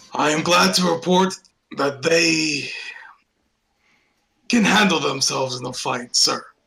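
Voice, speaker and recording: A man does a raspy, put-on character voice with a fairly high pitch. He talks at a fairly slow pace, leaving long, frequent pauses. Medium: actual play. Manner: formal, deferential.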